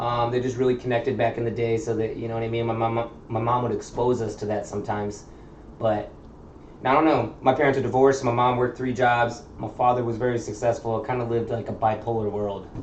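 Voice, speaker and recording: A man talks very fast in a monotone, flat intonation at a medium pitch, with audible room echo and noticeable background noise. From Chicago area, US Midwest. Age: 30s. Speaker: tattoo artist. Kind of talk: casual chat.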